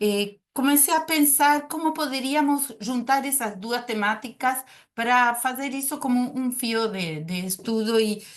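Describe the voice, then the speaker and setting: A woman speaks with a Spanish accent in a high voice. Her pace is fairly slow and her pitch moves in an ordinary way. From Uruguay. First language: Spanish (speaking Portuguese). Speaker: psychoanalyst. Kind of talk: academic presentation. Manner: hesitant, many filler sounds.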